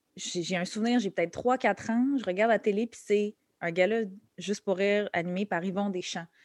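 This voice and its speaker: In a dry, close recording with no echo, a woman speaks at medium pitch and a moderate pace, using an unremarkable speaking voice with fairly even intonation. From Quebec, Montreal and Laval. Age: 30s. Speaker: comedian. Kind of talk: interview conversation. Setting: podcast interview.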